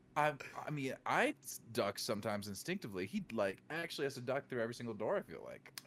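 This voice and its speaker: A man with an American accent talks at a very fast pace in a medium pitch, his voice swinging very widely up and down. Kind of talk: casual chat.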